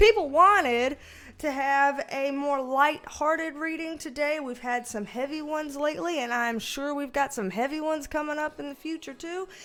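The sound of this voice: With a Southern US accent, a woman speaks at a moderate pace in a high, bright, sharp tone. Her loudness swings widely while her pitch varies in an ordinary way. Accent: Southern American.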